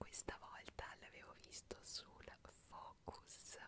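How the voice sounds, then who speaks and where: Whispering, a woman speaks at a very slow pace. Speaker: ASMR creator. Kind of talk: ASMR whispered trivia for sleep. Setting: home studio. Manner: whispered, soft-spoken. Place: home room.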